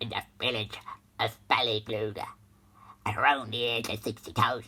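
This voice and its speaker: Whispering in a put-on character voice, a man speaks at a moderate pace in a solemn, deadpan tone. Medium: comedy sketch.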